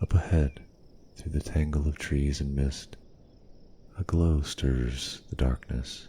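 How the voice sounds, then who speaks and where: Soft-spoken and somewhat breathy, a man talks very slowly in a very deep, low pitch with a dark, mellow tone, fairly even intonation, and long, frequent pauses. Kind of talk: ASMR fantasy roleplay narration.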